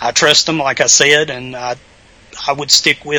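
A man's fairly high voice with a Southern Virginia accent, moderate pace and monotone, flat intonation. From Southern Virginia, US. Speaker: author. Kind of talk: casual interview chat.

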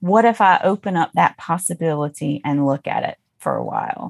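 An unremarkable speaking voice from a woman with an American accent, fairly low in pitch, with ordinary pitch variation and a fairly slow pace, in a dry, close sound with no echo against a quiet background. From US South, Mississippi. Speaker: biblical scholar, seminary professor. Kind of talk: casual interview.

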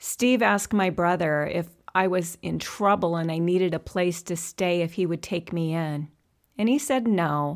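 A woman speaks at a fairly low pitch and a moderate pace. Hers is a normal speaking voice with ordinary pitch variation. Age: 60s. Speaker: podcast host and counselor. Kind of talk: monologue.

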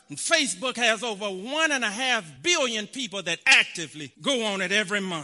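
A man's raised, projected voice, high in pitch, with very wide pitch swings at a moderate pace over noticeable background noise. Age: 40s. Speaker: preacher. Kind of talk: sermon.

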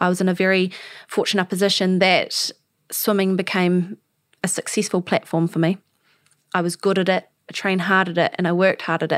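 A woman with a New Zealand accent speaks at a fairly quick pace in a medium-pitched, flat monotone, with long, frequent pauses and very even loudness. The recording is very clean, with a silent background and a dry, close sound with no echo. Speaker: podcast host, para swimmer. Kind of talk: interview conversation.

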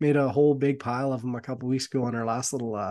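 Talking at a very fast pace, a man keeps his medium-pitched voice at a fairly even intonation. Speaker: podcast co-host, hunter. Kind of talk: casual intro chat.

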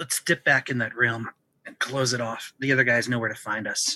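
Using a raspy, put-on character voice at medium pitch, a man talks at a moderate pace with fairly even intonation, the sound dry and close with no echo. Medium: actual play.

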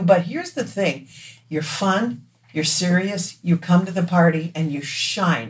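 A woman's somewhat breathy voice with an American accent, medium in pitch and fairly slow in pace. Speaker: singer. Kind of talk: casual chat.

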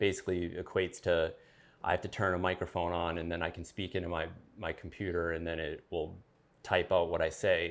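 Over a quiet background, a man delivers his words at a fairly quick pace in a very deep, low pitch with monotone, flat intonation. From Maine, US. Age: 40s. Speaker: army veteran with Parkinson's disease. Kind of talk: interview. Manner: halting, with pauses.

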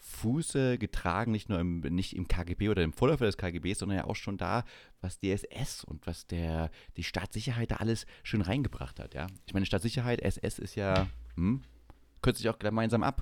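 A man with a plain, everyday voice and a fairly low pitch speaks with lively intonation at a moderate pace, in a very clean recording with a silent background. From eastern Germany, Saxony-Anhalt. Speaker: podcast host. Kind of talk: casual chat.

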